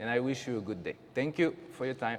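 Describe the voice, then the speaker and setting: A man's voice in a French accent, with ordinary pitch variation. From France. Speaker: teacher. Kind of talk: school open house presentation. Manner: halting.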